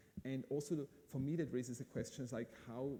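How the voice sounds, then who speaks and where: In an Austrian accent, a man speaks at a moderate pace in a medium pitch, somewhat breathy, with a dark, mellow tone and ordinary pitch variation. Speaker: event host. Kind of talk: live event hosting interview.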